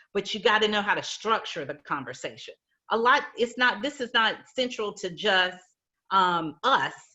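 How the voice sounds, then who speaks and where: Delivered in an American accent, the speech has an animated tone, lively intonation and a moderate pace. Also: woman, fairly high pitch for a woman. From US South. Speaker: healthcare HR executive, panelist. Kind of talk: virtual panel discussion, career advice. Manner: conversational, animated.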